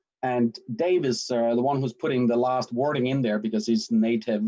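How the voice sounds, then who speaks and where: A man with a Danish accent at a moderate pace, with hardly any pauses. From Denmark. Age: 50s. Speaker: sales and marketing director. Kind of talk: livestream self-introduction. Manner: animated.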